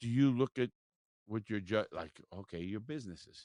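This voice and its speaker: A man's fairly low, animated voice with an American accent, lively intonation, a moderate pace and a dry, close sound with no echo. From South Florida. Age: 60s. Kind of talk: casual interview chat. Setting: mobile studio. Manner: animated, profane.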